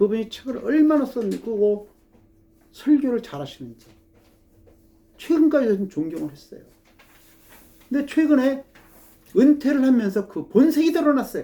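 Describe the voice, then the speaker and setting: A moderate pace broken by long, frequent pauses. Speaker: pastor. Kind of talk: sermon. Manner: halting.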